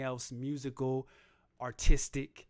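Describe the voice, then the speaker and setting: A man speaks at a medium pitch in a very clean recording with a silent background. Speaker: rapper and livestream host. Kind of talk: casual livestream chat reading comments. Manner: laid-back delivery.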